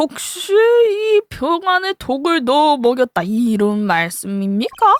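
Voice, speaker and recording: A woman puts on a character voice, high-pitched and fairly slow, with very wide pitch swings. The sound is dry and close, with no echo. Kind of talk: polite courtroom speech. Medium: virtual streamer. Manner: refined, formal.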